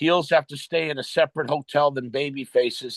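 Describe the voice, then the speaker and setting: A man with a plain, everyday voice talks at a fairly slow pace and fairly high pitch, the sound dry and close with no echo and the background quiet. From New York. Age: 60s. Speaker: retired pro wrestler. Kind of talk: interview storytelling. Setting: podcast interview.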